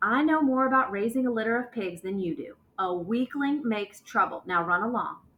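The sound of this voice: Lively intonation marks an unforced reading voice.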